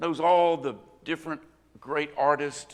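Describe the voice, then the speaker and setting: The speaker is a man. He has a Southern US accent. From US South, rural Northwest Florida. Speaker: preacher. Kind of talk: sermon. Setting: church.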